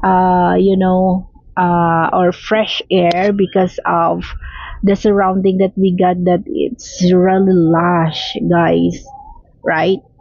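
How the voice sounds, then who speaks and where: The speaker has a Filipino accent and talks at a very slow pace with very even loudness. Background noise is noticeable. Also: woman. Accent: Filipino (Hiligaynon) English. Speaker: travel vlogger. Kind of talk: voiceover narration of travel video. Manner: halting, many fillers.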